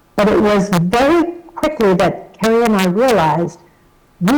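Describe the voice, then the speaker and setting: A woman with an American accent at a fairly slow pace, over noticeable background noise. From New York. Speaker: association chief executive. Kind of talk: recorded video message.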